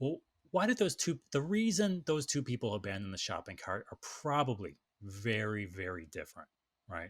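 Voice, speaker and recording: Recorded very cleanly against a silent background, with a dry, close sound and no echo, a man speaks in an animated tone, somewhat breathy, his medium pitch making very wide swings. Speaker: e-commerce marketing expert. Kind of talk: casual chat. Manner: fast.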